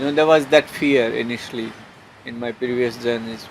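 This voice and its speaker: A soft-spoken man with an Indian accent, fairly slow and fairly even in intonation, over noticeable background noise. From India (Haryana). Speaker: long-distance walker and traveler. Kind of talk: interview answer.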